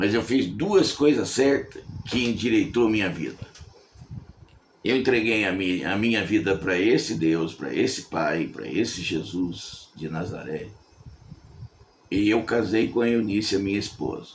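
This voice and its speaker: A man's fairly low voice with lively intonation at a fairly slow pace, full of long, frequent pauses, in audible room echo. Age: 70s. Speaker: evangelical preacher. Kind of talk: sermon. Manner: conversational.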